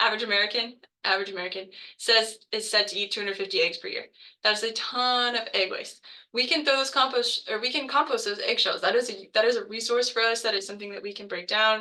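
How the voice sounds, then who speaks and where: A woman speaks at a very fast pace in a fairly high, bright, sharp voice. Her pitch varies in an ordinary way. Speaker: botanical garden educator. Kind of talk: webinar presentation. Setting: video call. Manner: many filler words.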